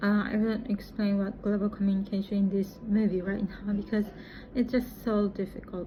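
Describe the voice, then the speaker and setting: A woman with a Japanese accent speaks at a moderate pace and medium pitch, somewhat breathy, with monotone, flat intonation. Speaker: English teacher and vlogger. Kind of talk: casual vlog monologue. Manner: halting.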